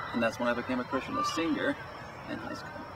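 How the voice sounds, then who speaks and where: A man speaks with crowd noise in the background. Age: 60s. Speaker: teacher. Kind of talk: interview testimony.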